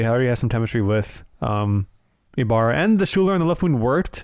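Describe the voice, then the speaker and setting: A man with a plain, everyday voice, medium pitch and fairly quick pace, on a very clean recording with a silent background. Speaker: soccer podcast co-host. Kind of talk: casual sports discussion.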